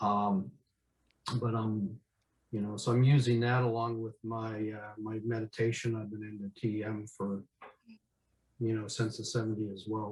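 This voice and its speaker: With long, frequent pauses, a man speaks at a moderate pace in a fairly low, somewhat breathy, monotone voice. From Upper Peninsula of Michigan, US. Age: 60s. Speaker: workshop participant. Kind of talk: casual group chat introduction. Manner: hesitant, many fillers.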